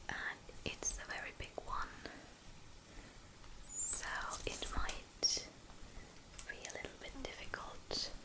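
A woman's whispering and mumbling at a very slow pace, with long, frequent pauses. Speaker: ASMR creator. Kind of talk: ASMR whisper video. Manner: whispered, soft, mumbling. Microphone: studio mic.

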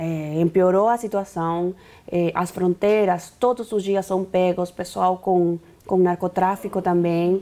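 Speaking at a very slow pace with very even loudness, a woman with a Spanish accent has a dark, mellow tone and fairly even intonation. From Bolivia. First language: Spanish (speaking Portuguese). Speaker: activist leader; interview guest. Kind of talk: interview; interview answer. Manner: halting. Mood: serious, concerned. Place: studio. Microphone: lapel.

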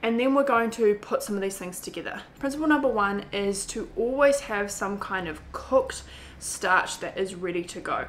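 A woman talks at a moderate pace with ordinary pitch variation. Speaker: vegan weight loss coach. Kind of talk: casual vlog tutorial. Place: kitchen.

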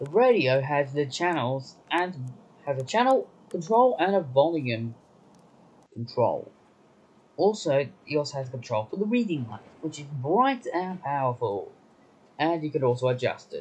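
Loudness swings widely at a fairly slow pace. The voice is somewhat breathy. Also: man, lively intonation. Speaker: train trip reviewer. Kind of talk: casual trip review narration. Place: train. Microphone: phone near.

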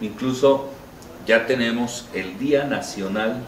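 A man speaks with ordinary pitch variation. There is light background noise and audible room echo. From Mexico, Cholula (Puebla); Puebla, Mexico. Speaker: marching band association leader, teacher; teacher. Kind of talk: interview. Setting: restaurant. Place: cafe.

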